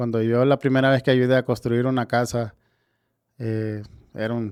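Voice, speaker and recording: Here a man talks with a Honduran accent at a medium pitch. His intonation is flat and monotone, and the recording is very clean with a silent background. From Tegucigalpa, Honduras. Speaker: builder. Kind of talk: podcast interview answer.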